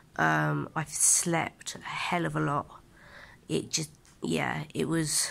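A woman with a very deep, low voice and a weary tone moves through very wide pitch swings. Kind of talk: casual vlog chat. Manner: weary, low-energy, drained patient voice. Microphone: phone near.

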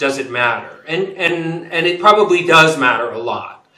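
Audible room echo carries a man's voice as he talks at a moderate pace with ordinary pitch variation. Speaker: guest. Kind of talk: interview answer. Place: office. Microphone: webcam.

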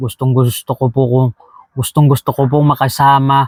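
A man speaks at a moderate pace and a fairly high pitch. The sound is dry and close, with no echo. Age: 30s. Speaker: vlogger, overseas Filipino worker. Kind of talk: casual vlog monologue. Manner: halting.

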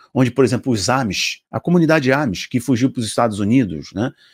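Speaking with a Brazilian accent, a man talks at a fairly quick pace in an animated tone with lively intonation. The background is quiet. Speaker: preacher and video commentator. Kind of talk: religious commentary video, partly fervent prayer near 3:05. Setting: online video to camera, promoting app. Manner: fervent, passionate, emphatic; animated, rhetorical, addresses viewers directly. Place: home room. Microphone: studio mic.

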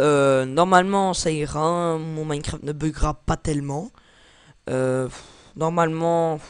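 A man speaks at a fairly high pitch and a very slow pace. He leaves long, frequent pauses. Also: fairly even intonation. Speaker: gaming YouTuber. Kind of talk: gameplay commentary. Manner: halting.

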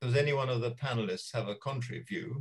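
Somewhat breathy, a man speaks at a fairly quick pace with ordinary pitch variation. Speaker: retired judge and arbitrator chairing webinar; retired judge. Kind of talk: moderating panel discussion. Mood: dry humour, calm. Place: home room. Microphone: video call.

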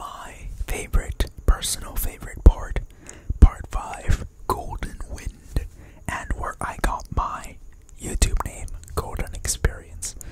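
A soft-spoken man whispering at a very slow pace, with long, frequent pauses and loud background noise. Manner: soft close-mic ASMR whisper. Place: kitchen. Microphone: studio mic.

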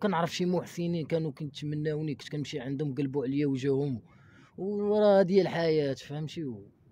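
Dark and mellow, a man's fairly high voice moves at a moderate pace with ordinary pitch variation and big swings in loudness. The sound is dry with no echo. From Morocco, Casablanca. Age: 20s. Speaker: former orphanage resident; interviewee. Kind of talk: testimony. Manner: halting. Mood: sad, resigned. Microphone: handheld.

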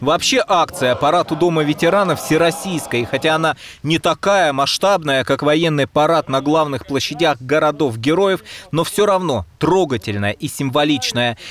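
Over music in the background, a man talks at a moderate pace in a fairly high pitch, with ordinary pitch variation and very even loudness. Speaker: TV journalist. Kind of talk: TV news report.

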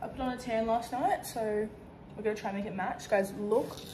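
A woman with an Australian accent talks at a very fast pace in an upbeat tone, her pitch fairly high with ordinary variation. Noticeable background noise runs under her voice. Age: 20s. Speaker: makeup artist and influencer; influencer. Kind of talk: casual chat to camera while doing makeup. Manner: chatty, upbeat. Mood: chatty, upbeat. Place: home room. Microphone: phone near.

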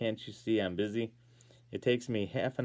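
The intonation holds fairly even. It is plain reading aloud.

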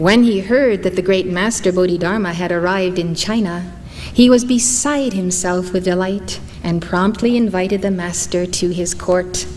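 With light background noise behind her, a woman speaks at a moderate pace. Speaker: spiritual teacher. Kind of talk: lecture reading a story. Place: hall. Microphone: podium.

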